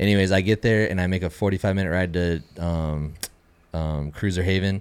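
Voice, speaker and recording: Very deep and low in pitch, a man talks at a fairly quick pace with an American accent and fairly even intonation. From Southern California. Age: 30s. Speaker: kayak bass fisherman. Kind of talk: casual chat.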